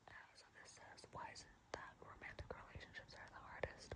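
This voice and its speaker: A woman whispering at a moderate pace. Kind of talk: asmr reading. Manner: soft-spoken, casual.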